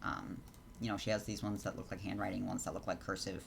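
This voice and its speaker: Fairly low in pitch, a man talks in a somewhat breathy voice. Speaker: Sims 4 custom content creator. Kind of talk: tutorial. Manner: fast; many filler words.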